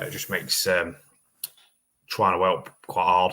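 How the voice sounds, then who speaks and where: A man's mumbling at a fairly quick pace, fairly low in pitch. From eastern England. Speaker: car mechanic and livestream host. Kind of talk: live-stream chat answering viewer comments. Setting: livestream. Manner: mumbly.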